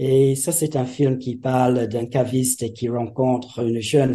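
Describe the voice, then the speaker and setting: Speaking very slowly in an English accent, a man with a medium pitch and a dark, mellow tone keeps a monotone, flat intonation. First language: English (speaking French). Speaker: retired French teacher, festival organiser. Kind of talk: interview.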